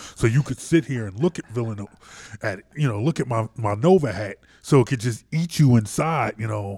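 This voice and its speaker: Somewhat breathy and dark, mellow in tone, a man speaks at a medium pitch and a fairly quick pace. The recording is very clean, with a silent background. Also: lively intonation, dry, close sound with no echo. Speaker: sports radio host. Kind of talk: casual sports talk. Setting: studio.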